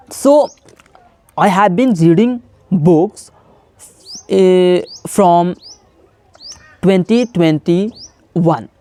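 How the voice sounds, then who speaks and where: A man with a high pitch speaks at a very slow pace, with long, frequent pauses and ordinary pitch variation. His loudness stays very even, and music plays in the background. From India, Bihar. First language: Hindi. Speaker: English-practice YouTuber. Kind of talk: casual teaching monologue to camera. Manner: slightly halting, self-correcting.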